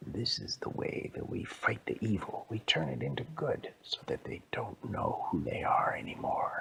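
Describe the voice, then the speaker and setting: A put-on character voice whispers at a moderate pace. There are hardly any pauses. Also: man. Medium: read story.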